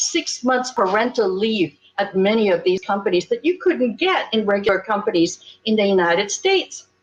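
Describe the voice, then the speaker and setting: A woman speaks with a fairly high pitch and lively intonation. Her voice is somewhat breathy. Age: 70s. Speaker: women's rights activist and panelist. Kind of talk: panel discussion. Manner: animated.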